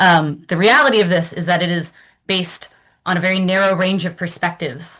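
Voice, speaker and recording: A woman talks at a fairly quick pace and a medium pitch. She has a normal speaking voice, and the background is quiet. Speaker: academic presenter. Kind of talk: lecture.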